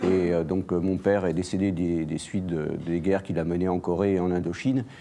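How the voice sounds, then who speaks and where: A man's very deep, low voice, dark and mellow in tone, at a fairly quick pace. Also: fairly even intonation. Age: 60s. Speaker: political candidate. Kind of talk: interview. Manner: halting, many hesitations.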